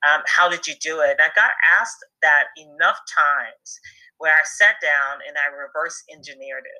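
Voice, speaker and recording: At a moderate pace, a woman speaks with big swings in loudness. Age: 50s. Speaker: business leader and speaker. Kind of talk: interview.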